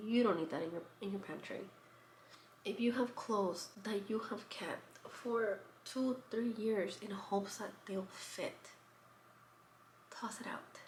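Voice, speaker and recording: A soft-spoken woman's fairly high voice at a fairly slow pace, with fairly even intonation, long, frequent pauses and audible room echo. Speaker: lifestyle vlogger. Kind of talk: casual vlog talk. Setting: at home.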